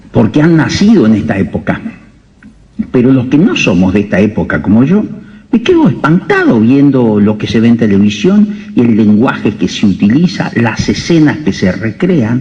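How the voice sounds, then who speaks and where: Audible room echo and noticeable background noise surround the voice. It moves at a moderate pace with lively intonation and very even loudness. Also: man, medium pitch for a man. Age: 60s. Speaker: doctor. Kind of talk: lecture.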